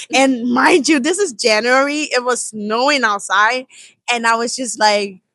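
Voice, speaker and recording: A woman speaks at a fairly slow pace with a strong Nigerian accent. Her high-pitched voice has a bright, sharp tone and ordinary pitch variation. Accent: Nigerian accent, still strong. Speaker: college student. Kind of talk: casual interview chat. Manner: casual, many fillers like 'like'.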